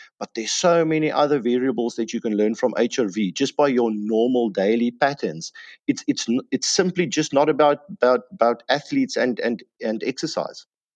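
A man with a South African accent speaks at medium pitch and a moderate pace with lively intonation, in a dry, close sound with no echo against a quiet background. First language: Afrikaans. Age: 30s. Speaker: health and fitness guest. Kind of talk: casual interview.

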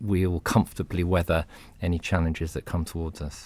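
A very deep, low male voice with a British accent on a very clean recording with a silent background. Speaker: CEO of a medical publisher. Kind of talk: podcast panel discussion. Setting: studio.

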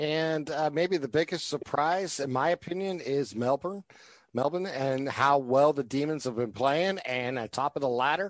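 A man's normal speaking voice with an American accent, fairly high in pitch, at a moderate pace with ordinary pitch variation, in a dry, close sound with no echo. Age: 50s. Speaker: sports podcast host. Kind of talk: casual sports chat.

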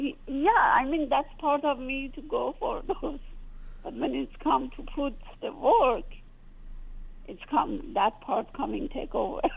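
Speaking very slowly with long, frequent pauses, a woman with a Persian accent uses a high pitch and big swings in loudness. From Iran. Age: 40s. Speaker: caller. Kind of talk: call-in conversation. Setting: phone call. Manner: halting.

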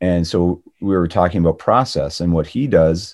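With a Canadian accent, a man talks at a moderate pace. His pitch is very deep and low. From Ontario, Canada. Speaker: actor and former radio DJ. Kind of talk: casual interview.

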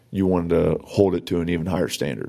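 A man's very deep, low voice, with a dark, mellow tone. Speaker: police officer and podcast host. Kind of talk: casual chat. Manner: talkative.

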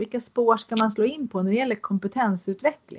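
A woman speaks at a moderate pace. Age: 50s. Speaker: podcast host. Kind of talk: interview. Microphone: poor sound quality.

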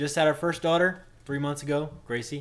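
A man's fairly high voice at a fairly quick pace. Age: 20s. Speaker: podcast co-host, married father. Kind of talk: casual chat.

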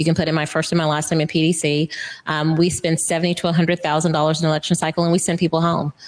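A woman with an American accent speaks very fast in a monotone, flat delivery, her fairly low voice held at a very even loudness. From Florida. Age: 50s. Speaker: lobbyist. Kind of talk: interview. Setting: studio.

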